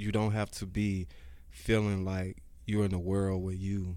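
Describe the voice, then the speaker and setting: Audible room echo surrounds a man's fairly low, dark, mellow voice, delivered at a fairly slow pace with fairly even intonation. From Georgia, US South. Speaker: CEO, author and life coach. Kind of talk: interview conversation. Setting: studio.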